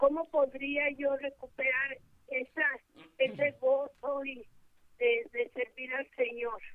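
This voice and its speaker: The speech comes at a very slow pace in a monotone, flat intonation, broken by long, frequent pauses. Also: woman, high pitch for a woman. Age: 60s. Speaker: caller. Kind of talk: call-in question.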